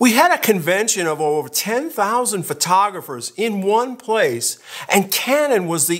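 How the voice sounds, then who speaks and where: A man speaks in a relaxed tone with very wide pitch swings. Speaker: photography youtuber. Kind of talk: casual vlog talk. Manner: conversational, relaxed.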